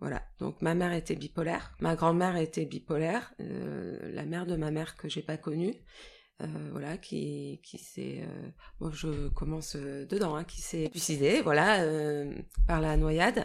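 A fairly slow pace in a very clean recording with a silent background. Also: woman. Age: 40s. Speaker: person living with bipolar disorder. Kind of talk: personal testimony. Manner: halting, many hesitations.

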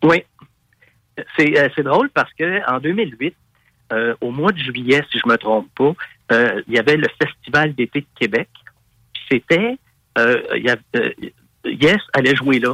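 A man with a Quebec accent speaks at a very slow pace, with long, frequent pauses and a fairly high pitch. His tone is bright and sharp, the intonation lively, and the sound dry and close with no echo. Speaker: rock singer. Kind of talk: interview.

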